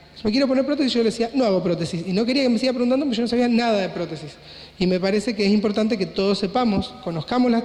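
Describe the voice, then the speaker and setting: A high male voice with ordinary pitch variation, amid noticeable background noise and audible room echo. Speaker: plastic surgeon / doctor. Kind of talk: conference lecture. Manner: fast.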